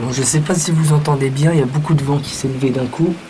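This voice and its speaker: A man speaks at a moderate pace and medium pitch. There is audible room echo and noticeable background noise. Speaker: storm chaser. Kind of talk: live commentary. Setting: outdoors. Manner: animated.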